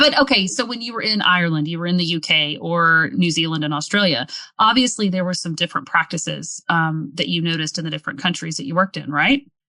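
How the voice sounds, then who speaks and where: Speaking at a very fast pace with hardly any pauses, a woman with a Southern US accent uses lively intonation in a fairly low pitch and a bright, sharp tone. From US South. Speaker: podcast host. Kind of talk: podcast interview.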